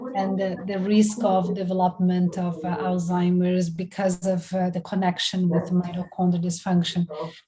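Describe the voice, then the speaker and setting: At a moderate pace and medium pitch, a woman talks in monotone, flat intonation with hardly any pauses, over noticeable background noise. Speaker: professor. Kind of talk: lecture.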